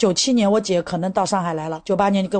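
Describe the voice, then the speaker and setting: Against a quiet background, a woman talks at a very fast pace with a medium pitch and ordinary pitch variation. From rural Zhejiang, China (Qiandao Lake). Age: 40s. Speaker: interviewee sharing life story. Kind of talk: personal testimony.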